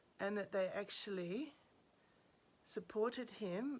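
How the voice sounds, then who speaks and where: At a fairly slow pace, a woman with an Australian accent speaks at a medium pitch. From Australia, Sydney. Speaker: commentator. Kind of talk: casual monologue. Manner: halting.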